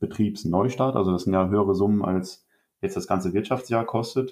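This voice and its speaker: A man talks with fairly low pitch in a plain, everyday voice. His intonation stays fairly even. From Germany, Rhineland-Palatinate. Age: 20s. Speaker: organic farmer and agriculture student. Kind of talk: podcast interview.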